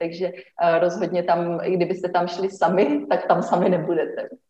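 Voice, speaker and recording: This is a woman speaking at a medium pitch. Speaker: blogger and former refugee camp worker. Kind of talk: interview conversation.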